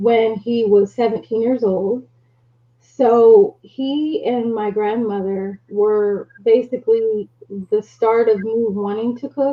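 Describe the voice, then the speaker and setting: A woman with an American accent speaks very slowly at a fairly high pitch, her intonation fairly even. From US Northeast (South Jersey). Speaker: business owner. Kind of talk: casual chat.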